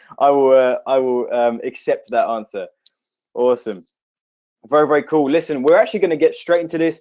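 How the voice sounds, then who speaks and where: Lively intonation marks this man's fairly high voice. The background is quiet. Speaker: online marketing trainer. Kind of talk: live webinar training. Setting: home office. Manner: fast; animated. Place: office. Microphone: webcam.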